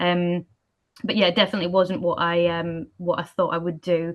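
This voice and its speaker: With an Edinburgh accent, a woman speaks at a medium pitch and a fairly quick pace. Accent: Scottish (Edinburgh). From Scotland, Edinburgh. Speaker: postal industry executive. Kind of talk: panel discussion. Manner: casual, many fillers.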